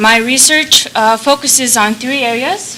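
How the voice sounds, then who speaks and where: Over noticeable background noise, a woman with a Mongolian accent speaks with ordinary pitch variation. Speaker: conference presenter. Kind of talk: conference talk.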